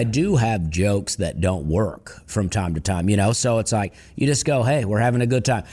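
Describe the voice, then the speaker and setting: At a moderate pace, a man with a normal speaking voice talks with lively intonation. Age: young. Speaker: stand-up comedian. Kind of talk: interview answer.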